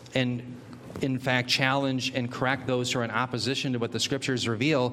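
Noticeable background noise runs through the clip. A man talks at a fairly quick pace and a medium pitch. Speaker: church member. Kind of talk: group Bible study discussion.

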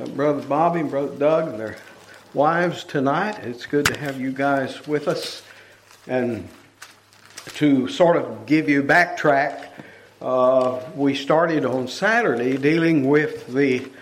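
A man with an American accent talks at a fairly slow pace in a fairly high pitch. Noticeable background noise and audible room echo come through on the recording. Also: ordinary pitch variation. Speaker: preacher. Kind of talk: sermon.

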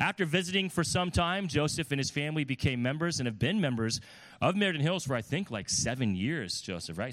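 In a plain, everyday voice, a man talks at a fairly quick pace in a very clean recording with a silent background. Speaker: pastor. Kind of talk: sermon introduction. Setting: church.

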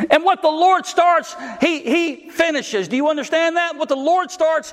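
Noticeable background noise sits behind the speech. A man talks at an extremely high pitch with ordinary pitch variation. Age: 40s. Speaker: pastor. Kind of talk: sermon.

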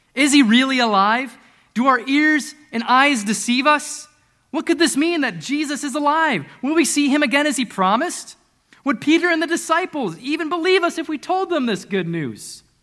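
Speaking at a moderate pace, a man uses an extremely high pitch and a bright, sharp tone, his voice raised and projected, animated and full of lively intonation. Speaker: preacher. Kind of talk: sermon. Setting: church.

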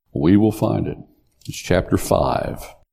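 A man speaks with vocal fry. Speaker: pastor. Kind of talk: sermon. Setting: church.

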